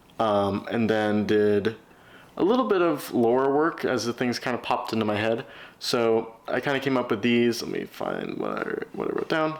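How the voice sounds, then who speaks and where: Mumbling, a man speaks at a moderate pace with ordinary pitch variation. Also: medium pitch for a man. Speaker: vlogger writing a novel. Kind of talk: casual vlog.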